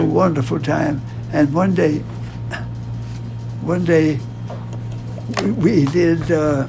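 A man at a fairly high pitch with ordinary pitch variation, very slow and with long, frequent pauses, over noticeable background noise. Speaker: World War II navy aviator. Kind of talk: interview answer. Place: office.

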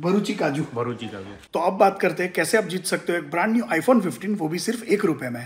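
A man at a moderate pace with very wide pitch swings and hardly any pauses. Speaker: family vlogger. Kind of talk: sponsored ad read in vlog. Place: home room. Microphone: phone near.

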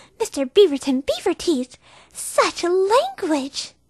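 At a fairly slow pace, the speaker delivers a put-on character voice. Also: female-sounding voice, extremely high pitch for a woman. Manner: soft-spoken, timid.

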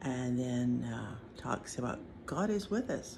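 Light background noise sits under a woman's voice. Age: old. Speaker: Paiute elder, former boarding school student. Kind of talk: personal testimony. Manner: reflective, unhurried. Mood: calm, reflective. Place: home room. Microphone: phone near.

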